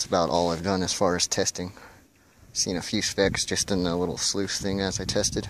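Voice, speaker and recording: Fairly quick, monotone, flat delivery, dry with no echo, against noticeable background noise. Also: man. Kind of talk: casual vlog chat. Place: open country. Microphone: phone near.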